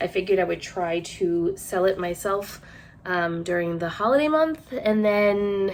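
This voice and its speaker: A woman with an American accent. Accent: Rhode Island accent, comes out at times. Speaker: online clothing reseller and vlogger. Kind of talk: casual haul vlog talk to camera. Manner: chatty, with many fillers.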